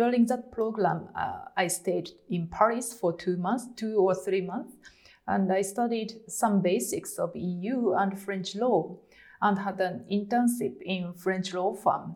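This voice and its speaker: Very slowly, a woman speaks at medium pitch. Her intonation rises and falls in an ordinary way. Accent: Japanese. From Japan. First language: Japanese. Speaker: lawyer. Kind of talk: interview. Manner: halting, many fillers.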